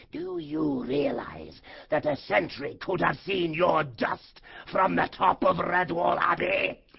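Hoarse and raspy, a put-on character voice sits at a middle pitch. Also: fairly slow pace. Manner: menacing, bad-tempered, commanding.

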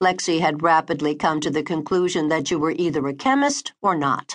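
In a dramatic, warm tone, a woman speaks at a moderate pace with a fairly low pitch. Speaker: audiobook narrator. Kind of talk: audiobook narration, romance fiction read aloud. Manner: dramatic, expressive, voicing characters; warm, intimate first-person storytelling.

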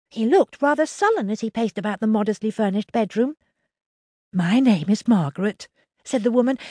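A woman talks at a fairly quick pace with lively intonation and a fairly high, somewhat breathy voice. The sound is dry and close, without any echo. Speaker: audiobook narrator. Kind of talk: dramatic audiobook narration, first-person, children's fantasy. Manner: animated, theatrical, doing distinct character voices; expressive, shifting from wry to tense.

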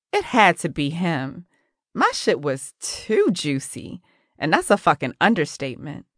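Speaking at a fairly slow pace, a woman uses an animated tone with vocal fry. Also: quiet background. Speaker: audiobook narrator. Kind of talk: dramatic first-person audiobook narration. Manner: gritty, sassy, street-smart, confessional; animated, with dry, sarcastic bite.

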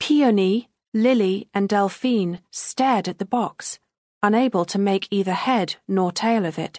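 A natural voice reading aloud, pitch varying in an ordinary way, the background quiet

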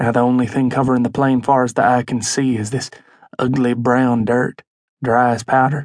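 Using a dramatic tone, a man delivers his lines at a moderate pace and medium pitch. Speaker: audiobook narrator. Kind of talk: dramatic audiobook narration, first-person as a country child. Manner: folksy, storytelling, with dramatic pauses.

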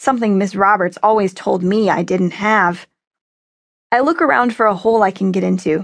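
A woman with an animated tone speaks at a moderate pace and a medium pitch, her loudness very even and her pitch varying in an ordinary way. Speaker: audiobook narrator. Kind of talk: dramatic audiobook narration, first person as a young girl turned dog. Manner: tense, breathless chase passages; animated, with quoted men's shouts; wry and emotional, shifting to plaintive and grieving.

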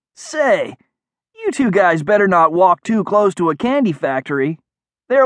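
The voice reads aloud in a natural way with lively intonation. The background is quiet.

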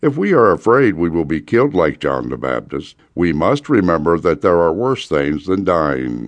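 Hardly pausing, a man talks at a very deep, low pitch with vocal fry and very wide pitch swings. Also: moderate pace. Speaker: audiobook narrator. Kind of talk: rally speech, urgent sermon-like exhortation read from a book. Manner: urgent, forceful, impassioned; solemn, preacher-like, building emphasis.

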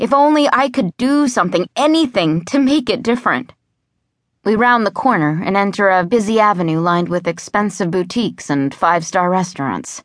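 A woman's ordinary speaking voice at a medium pitch and moderate pace, with lively intonation over a quiet background. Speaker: audiobook narrator. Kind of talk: dramatic audiobook narration, first-person young heroine, sci-fi thriller. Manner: tense, wry, and suspenseful; shifts into a hiss for the heroine and a bellow for Dubs; brisk, youthful, sarcastic first-person delivery.

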